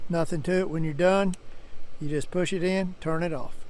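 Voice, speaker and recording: Audible room echo surrounds a man with an American accent who speaks at a moderate pace in a high voice with fairly even intonation. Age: 70s. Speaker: truck salesman. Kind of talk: sales pitch. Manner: casual folksy.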